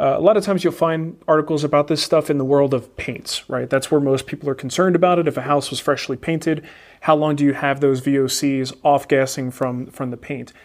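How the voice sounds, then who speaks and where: With an ordinary speaking voice, a man talks at a fairly quick pace with hardly any pauses, using a fairly high pitch and fairly even intonation. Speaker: woodworking show host. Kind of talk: casual live Q&A chat. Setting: live stream with chat room.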